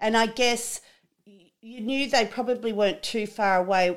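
A woman speaks at a fairly slow pace with an Australian accent. Her pitch varies in an ordinary way, and the recording is very clean with a silent background. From Australia, rural New South Wales. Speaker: podcast host, farmer's wife. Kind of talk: casual interview chat.

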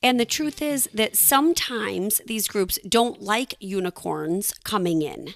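A woman with an unremarkable speaking voice talks at a fairly slow pace with lively intonation and hardly any pauses. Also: fairly high pitch for a woman. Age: 40s. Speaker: podcast co-host. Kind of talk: casual chat.

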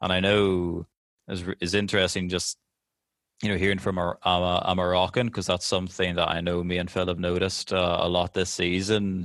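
Deep and very low, a man's voice moves at a fairly quick pace in a monotone, flat delivery. The recording is very clean, with a silent background. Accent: Northern Irish. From Northern Ireland. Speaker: football podcast host. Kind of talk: casual chat.

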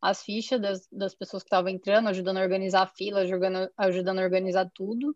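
The speech rushes at a very fast pace in monotone, flat intonation. The sound is dry and close with no echo. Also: woman. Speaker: ophthalmologist. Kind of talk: storytelling in interview.

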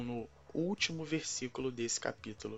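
A man speaks in an unremarkable speaking voice at a medium pitch. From Brazil, Rio de Janeiro. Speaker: pastor. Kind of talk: scripted Bible teaching.

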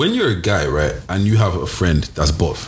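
Somewhat breathy and delivered at a moderate pace, this voice has lively intonation and a London accent. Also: man. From Nigeria (Yoruba), raised in London. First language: Yoruba. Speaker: podcast co-host. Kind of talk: casual chat.

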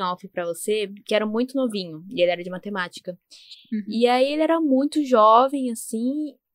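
A woman's lively intonation comes through in a dry, close sound with no echo. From São Paulo, Zona Leste. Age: 20s. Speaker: podcast co-host, university student. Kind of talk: casual chat.

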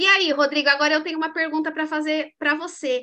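A woman speaks in a raised, projected voice with a bright, sharp tone. Her pitch is high and her pace fairly quick. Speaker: leadership coach and mentor. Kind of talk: casual interview chat. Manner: animated.

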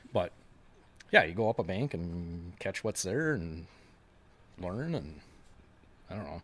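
A man with an Upper Midwest accent speaks at a fairly slow pace in a very deep, low pitch, with lively intonation and big swings in loudness. Long, frequent pauses break his speech, and the recording is very clean with a silent background. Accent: Upper Midwest American. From Wisconsin, La Crosse / River Falls. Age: 40s. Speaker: tournament bass angler. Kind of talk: casual chat.

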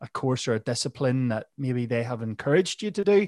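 At a moderate pace, a man with a Northern Irish accent speaks at medium pitch in a dry, close sound with no echo. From Northern Ireland. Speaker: mental health podcast host. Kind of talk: casual interview.

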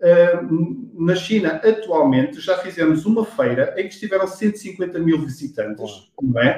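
A man's high voice with a dark, mellow tone, lively intonation, a fairly slow pace and hardly any pauses. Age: 40s. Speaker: sales executive. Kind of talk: interview. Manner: halting.

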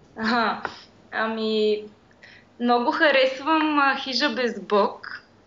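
Very slow, high-pitched speech from a woman with long, frequent pauses and audible room echo. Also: ordinary pitch variation. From Bulgaria, Pirdop. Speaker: graphic designer. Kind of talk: interview.

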